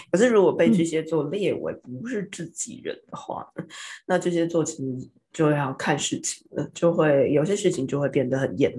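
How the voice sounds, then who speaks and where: Lively intonation and a dark, mellow tone at a moderate pace. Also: woman. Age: 40s. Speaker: tarot reader and aromatherapist podcast host. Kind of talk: casual chat.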